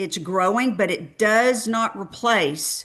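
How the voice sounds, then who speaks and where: A woman's fairly high, bright, sharp voice in a Texan accent, with lively intonation at a fairly slow pace against a quiet background. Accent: Texan twang. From Texas. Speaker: clinical research industry speaker. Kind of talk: webinar presentation. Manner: halting, many fillers.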